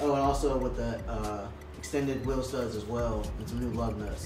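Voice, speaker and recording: Clear music plays in the background as the speech moves at a moderate pace. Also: man. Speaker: car mechanic channel host. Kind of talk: casual vlog chat. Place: workshop. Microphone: camera far.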